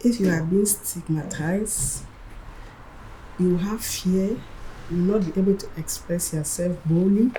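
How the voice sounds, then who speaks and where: Medium-pitched female speech with ordinary pitch variation, a fairly slow pace, long, frequent pauses and noticeable background noise. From Sub-Saharan Africa. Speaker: migrant community member. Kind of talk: testimony.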